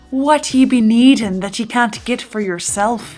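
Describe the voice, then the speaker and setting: A female-sounding, put-on character voice speaks at a moderate pace in a fairly high pitch, with faint music in the background. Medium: audio drama. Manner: blustering, pirate dialect.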